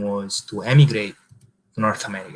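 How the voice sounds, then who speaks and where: A man with an Italian accent speaks at a moderate pace, his pitch fairly low and his intonation fairly even. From Italy, village southeast of Rome. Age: 20s. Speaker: marketing agency founder, former pizza chef. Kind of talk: interview. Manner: halting, many fillers.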